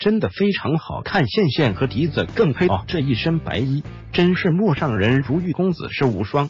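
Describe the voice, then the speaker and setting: With music playing behind him, a man speaks in a fairly high voice that swings very widely in pitch. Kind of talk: celebrity gossip narration.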